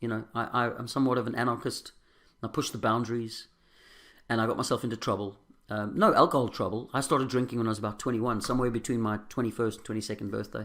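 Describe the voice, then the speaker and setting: In a very clean recording with a silent background, a man with a South African accent speaks at a medium pitch, very fast, in a monotone with flat intonation. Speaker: recovering alcoholic sharing his story. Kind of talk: testimony. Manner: halting.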